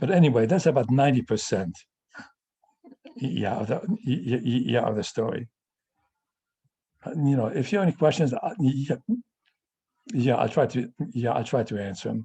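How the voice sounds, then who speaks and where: With a dark, mellow tone and vocal fry, a man speaks at a medium pitch and a fairly quick pace, his intonation lively. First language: Yiddish. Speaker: family elder telling life story. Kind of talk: personal testimony on video call. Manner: halting, with repeated stutters.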